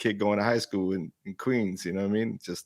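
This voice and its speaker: With a New York accent, a man talks at a fairly quick pace in a fairly low pitch with fairly even intonation, the sound dry and close with no echo. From Brooklyn, New York. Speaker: hip hop commentator. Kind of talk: live album review chat.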